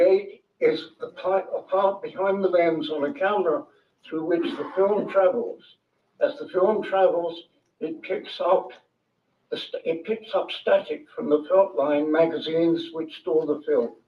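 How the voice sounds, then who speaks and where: A man with a London accent speaks at a fairly slow pace. His voice is high-pitched and his intonation is lively. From London, England. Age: 80s+. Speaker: author, former film crew member. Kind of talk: public talk.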